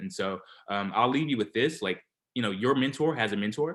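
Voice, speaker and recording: Lively in intonation, this man keeps up a fairly quick pace. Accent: Alabama. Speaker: scientist, co-founder of cancer organisation. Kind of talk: online forum talk. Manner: casual, informal.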